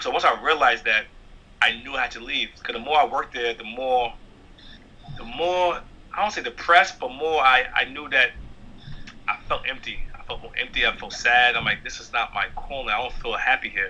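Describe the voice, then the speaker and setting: His loudness rises and falls a great deal. The man keeps a moderate pace. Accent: New York. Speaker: stand-up comedian. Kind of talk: interview.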